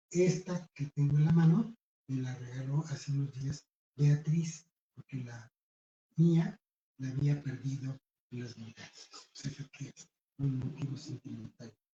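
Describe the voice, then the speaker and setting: The voice is somewhat breathy with a dark, mellow tone and fairly even intonation. Loudness swings widely, and long, frequent pauses break it up. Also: man, fairly high pitch for a man, fairly slow pace. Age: 70s. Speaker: writer presenting a book. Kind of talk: book presentation speech. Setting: bookstore event with audience. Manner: formal.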